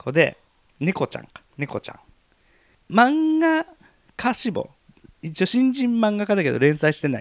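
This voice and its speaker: The speech moves at a moderate pace with long, frequent pauses. The pitch swings very widely. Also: man, high pitch for a man. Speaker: podcast co-host. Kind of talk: casual chat.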